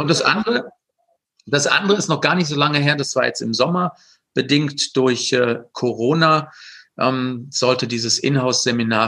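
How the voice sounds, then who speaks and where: At a moderate pace, a man speaks in a bright, sharp tone with ordinary pitch variation. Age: 50s. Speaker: sales trainer. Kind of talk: interview. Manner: hesitant, many fillers.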